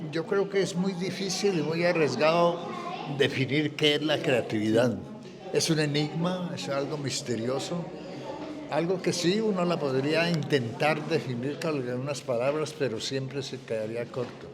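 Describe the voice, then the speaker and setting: Against noticeable background noise and audible room echo, a man with a fairly high pitch speaks fairly slowly. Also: ordinary pitch variation. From Colombia, Popayán. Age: 70s. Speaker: writer and painter. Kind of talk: interview. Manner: reflective, measured.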